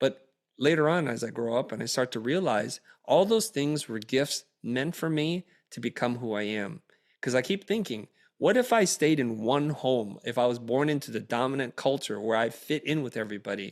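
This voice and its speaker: Lively intonation colors a man's unremarkable speaking voice, medium in pitch and moderate in pace. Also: very clean recording, silent background. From Vietnam, raised in US. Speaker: creative entrepreneur and educator. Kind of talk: interview conversation.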